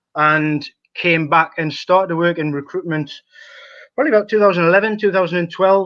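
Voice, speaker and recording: In a Geordie accent, a man talks at a fairly quick pace. His pitch is high, and his intonation is fairly even. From northern England, Newcastle (Geordie). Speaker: football talent analyst. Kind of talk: podcast interview. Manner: halting, many fillers.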